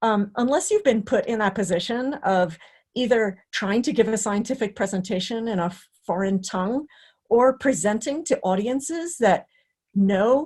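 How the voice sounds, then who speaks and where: Somewhat breathy and fairly high in pitch, a woman speaks with lively intonation. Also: moderate pace. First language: not English (English is third language). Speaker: career development director, presenter. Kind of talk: webinar talk and Q&A. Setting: online webinar.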